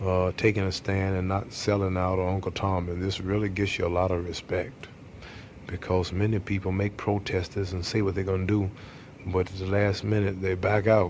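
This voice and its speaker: Very deep, low male voice in a monotone, flat intonation at a moderate pace, over light background noise. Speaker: interviewee. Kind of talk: interview answer. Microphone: old recording.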